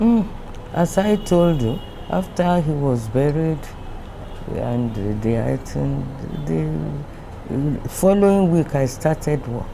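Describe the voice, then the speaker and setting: Against noticeable background noise, a woman with a very deep, low pitch speaks at a very slow pace, her pitch swinging very widely. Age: 80s+. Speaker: retired company managing director. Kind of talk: interview answer.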